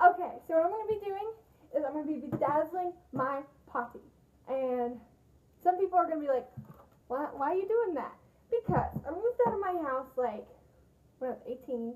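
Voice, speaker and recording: A woman talks at a high pitch and a moderate pace. Her speech has long, frequent pauses. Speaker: DIY vlogger. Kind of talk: casual vlog chat. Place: bathroom. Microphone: phone near.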